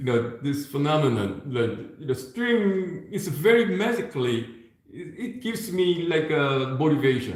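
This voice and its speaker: A man talks with lively intonation. There is audible room echo. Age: 60s. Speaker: violin and viola teacher. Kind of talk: masterclass teaching. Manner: halting, many repetitions.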